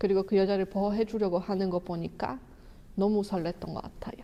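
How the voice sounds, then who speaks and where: A woman with a Polish accent and fairly even intonation. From Poland. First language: Polish (speaking Korean). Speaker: YouTuber, film reviewer. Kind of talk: casual vlog talk, movie review.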